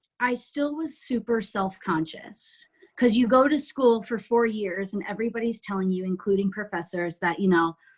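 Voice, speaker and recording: A woman with an American accent, fairly high pitch, a somewhat breathy quality and lively intonation. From New Jersey. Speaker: musical theatre actress. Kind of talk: interview podcast.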